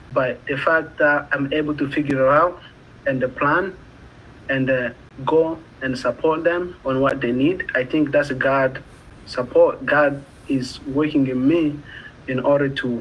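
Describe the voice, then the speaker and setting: Over light background noise, a man with a Congolese accent speaks at a fairly slow pace, his fairly high pitch held in a monotone, flat intonation. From Democratic Republic of the Congo. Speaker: community college student. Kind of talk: interview. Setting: video call. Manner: halting. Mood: earnest, reflective. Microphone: video call.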